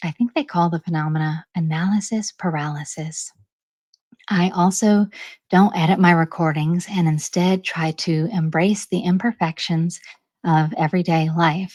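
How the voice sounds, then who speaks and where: A woman speaks quietly in a calm, somewhat breathy tone with fairly even intonation. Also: fairly low pitch for a woman, moderate pace. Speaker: channel host reading articles aloud. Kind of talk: introduction to a read-aloud episode. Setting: home recording. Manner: calm and quiet; medium pace, clear enunciation.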